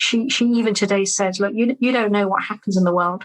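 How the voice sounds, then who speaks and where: Speaking at a fairly quick pace with a British accent, a woman uses medium pitch and ordinary pitch variation. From London, England. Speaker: business growth coach. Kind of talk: interview answer.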